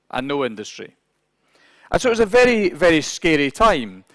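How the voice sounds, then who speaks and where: This speaker has a Scottish accent and very wide pitch swings. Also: man. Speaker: business executive speaker. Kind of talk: conference talk. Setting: conference hall with interpreters.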